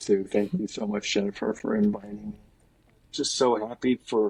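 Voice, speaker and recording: An ordinary speaking voice from a man, at a fairly slow pace, with ordinary pitch variation. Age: 60s. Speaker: spiritual guide and former minister. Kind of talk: interview.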